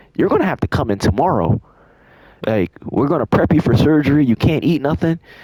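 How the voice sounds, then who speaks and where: Lively intonation marks this man's fairly high pitch and dark, mellow tone. He speaks at a moderate pace with some vocal fry. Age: 20s. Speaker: storytime youtuber. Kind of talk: storytime over gameplay. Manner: casual, slangy.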